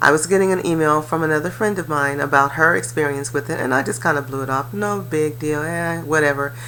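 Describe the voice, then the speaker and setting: A woman talks at a fairly quick pace with ordinary pitch variation and a very deep, low pitch. Noticeable background noise runs underneath. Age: 60s. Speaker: life coach and real estate investor. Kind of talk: personal testimony. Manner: casual, conversational with fillers.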